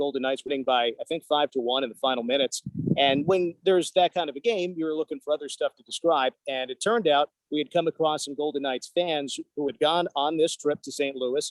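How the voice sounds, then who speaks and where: A man talks at a fairly quick pace with ordinary pitch variation. His voice is an unremarkable speaking voice. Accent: American. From northern New Jersey. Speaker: hockey radio play-by-play announcer. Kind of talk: casual interview.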